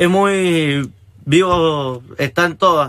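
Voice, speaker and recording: The man's voice has a bright, sharp tone and a fairly high pitch. His intonation stays fairly even. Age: 20s. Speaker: young rugby player. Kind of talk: casual interview.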